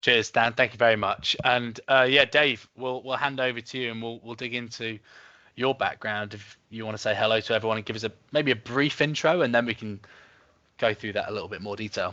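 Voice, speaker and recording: With an English accent, a man talks at a fairly quick pace in a bright, sharp tone, with fairly even intonation and big swings in loudness against a quiet background. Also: medium pitch for a man. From West London. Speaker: webinar host. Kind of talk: webinar talk. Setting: video call.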